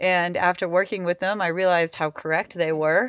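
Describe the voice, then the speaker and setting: A woman speaks with an American accent at a fairly low pitch. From Massachusetts (Boston area). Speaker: restaurant owner and rock climber. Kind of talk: interview, personal story.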